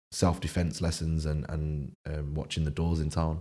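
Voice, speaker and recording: A man with a Manchester accent speaks in a very deep, low pitch and a dark, mellow tone, monotone and flat, on a very clean recording with a silent background. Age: 20s. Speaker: chef and food business founder. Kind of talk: casual interview chat.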